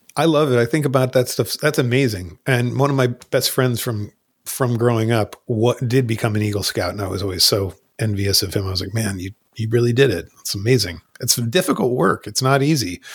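This somewhat breathy voice moves at a fairly quick pace with ordinary pitch variation. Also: man, medium pitch for a man. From New Jersey. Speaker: rock band lead singer. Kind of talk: casual chat.

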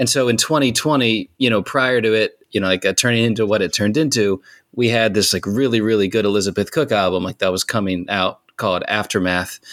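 With a plain, everyday voice, a man speaks at a fairly quick pace and fairly low pitch, hardly pausing, with ordinary pitch variation, very even loudness and a dry, close sound with no echo. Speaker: musician, band frontman. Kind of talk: casual chat.

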